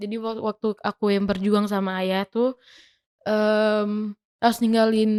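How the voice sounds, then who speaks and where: In a very clean recording with a silent background and a dry, close sound with no echo, a woman speaks fairly slowly in a monotone, flat intonation at a fairly high pitch. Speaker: singer. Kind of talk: interview answer. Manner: calm.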